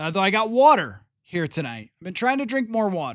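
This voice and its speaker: A man speaks with a high pitch and very wide pitch swings. The recording is very clean with a silent background. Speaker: sports podcast host. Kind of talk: solo podcast monologue. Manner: fast; casual, filler-heavy.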